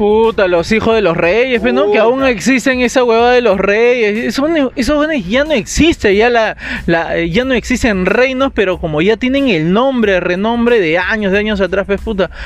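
A man's high-pitched voice at a moderate pace, with ordinary pitch variation, very even loudness and hardly any pauses, over noticeable background noise. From Peru, Lima. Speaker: podcast co-host. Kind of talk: casual chat. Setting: recording studio.

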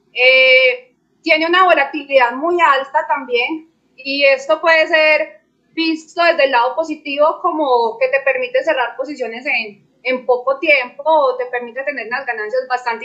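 At a moderate pace, a woman uses a raised, projected voice that is high-pitched, with a bright, sharp tone. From Colombia, Medellín. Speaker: crypto trader. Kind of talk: panel discussion.

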